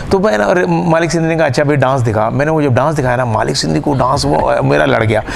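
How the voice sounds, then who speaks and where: An animated voice with very wide pitch swings and very even loudness comes through noticeable background noise and audible room echo. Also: man, medium pitch for a man, hardly any pauses. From Pakistan, Punjab. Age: 60s. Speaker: stage comedian and actor. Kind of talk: interview.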